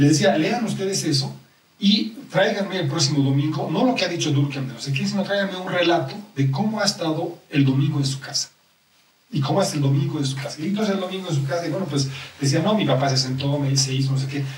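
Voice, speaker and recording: At a very fast pace and with ordinary pitch variation, the speech carries audible room echo and noticeable background noise. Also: man, fairly high pitch for a man. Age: 50s. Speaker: sociologist. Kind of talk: interview.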